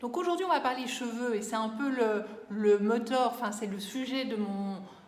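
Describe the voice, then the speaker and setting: Over noticeable background noise and audible room echo, a woman speaks at a fairly slow pace. Her pitch is fairly high, with ordinary variation. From Belgium. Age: 40s. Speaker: beauty vlogger. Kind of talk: casual vlog talk. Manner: hesitant, many fillers.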